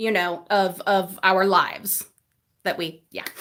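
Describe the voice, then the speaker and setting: The woman's tone is bright and sharp. She talks fairly slowly. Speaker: YouTube livestream host. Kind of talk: casual livestream chat.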